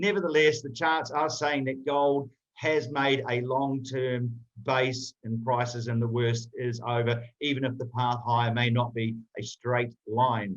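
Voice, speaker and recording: A man with an unremarkable speaking voice talks at a medium pitch. His pace is fairly slow and his intonation fairly even. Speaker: market analyst. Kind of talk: market commentary.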